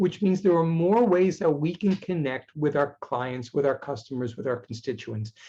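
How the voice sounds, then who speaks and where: Using a high pitch, a man talks at a moderate pace with lively intonation and a dark, mellow tone. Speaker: technology speaker. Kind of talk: webinar presentation. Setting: video call.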